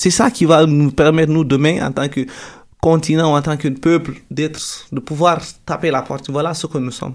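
An ordinary speaking voice at a moderate pace, with fairly even intonation. The recording is very clean, with a silent background. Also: man, fairly high pitch for a man. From Guinea, Peul from Télémélé. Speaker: university student. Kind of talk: radio interview.

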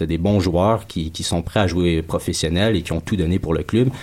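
A man talks at a moderate pace in a very deep, low pitch. The recording is very clean, with a silent background. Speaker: professional footballer. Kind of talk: casual chat.

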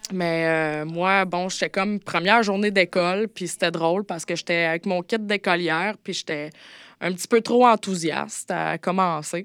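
A woman speaks at a moderate pace with fairly even intonation, the sound dry and close with no echo, on a very clean recording with a silent background. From Quebec, Montérégie. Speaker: former escort. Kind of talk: personal testimony. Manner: halting, many hesitations.

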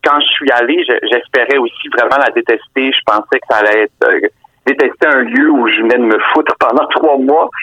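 A man is speaking. His pace is moderate. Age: 40s. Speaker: novelist. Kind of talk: interview. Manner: halting.

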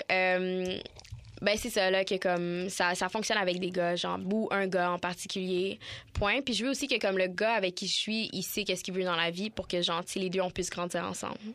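At a moderate pace over a quiet background, a woman with a normal speaking voice talks at a medium pitch with fairly even intonation. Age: 20s. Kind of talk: casual chat.

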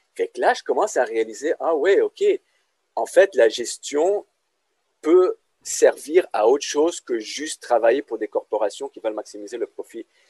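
A man at a fairly slow pace, with big swings in loudness and a dry, close sound free of echo. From Lebanon. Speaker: business lecturer. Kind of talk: casual interview.

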